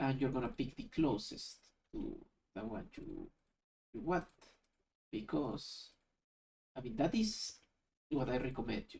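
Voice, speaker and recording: With a non-native accent, the speaker talks at a fairly slow pace, leaving long, frequent pauses. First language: not English. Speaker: YouTube tutorial creator. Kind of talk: screen-recorded software tutorial. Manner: casual, thinking aloud.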